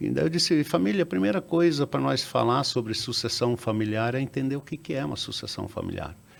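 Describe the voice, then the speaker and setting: His pitch swings across a very wide range. This man talks at a fairly quick pace. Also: medium pitch for a man, hardly any pauses. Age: 60s. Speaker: business founder. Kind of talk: interview. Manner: halting, with many repetitions and fillers.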